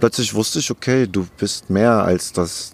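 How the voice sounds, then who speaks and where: A man speaks at a fairly slow pace in a plain, everyday voice with ordinary pitch variation. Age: 40s. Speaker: former criminal turned YouTuber and author. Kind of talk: interview. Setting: outdoors in a park.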